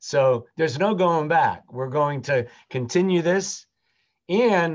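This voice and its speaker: A man's very slow speech in an American accent, over a quiet background. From US South, Jacksonville, Florida. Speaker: rabbi. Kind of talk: interview.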